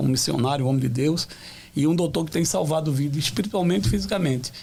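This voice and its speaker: A man with a medium pitch talks very fast, his pitch varying in an ordinary way. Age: 60s. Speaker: pastor. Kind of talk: testimony. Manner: halting.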